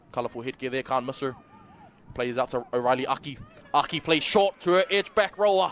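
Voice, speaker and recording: An animated man at a fairly quick pace, with lively intonation and noticeable background noise. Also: medium pitch for a man. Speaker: rugby league commentator. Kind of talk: live commentary. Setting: commentary booth.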